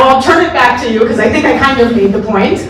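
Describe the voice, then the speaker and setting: A high-pitched woman with lively intonation, audible room echo, and noticeable background noise. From Israel. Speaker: moderator. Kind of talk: moderated talk before audience.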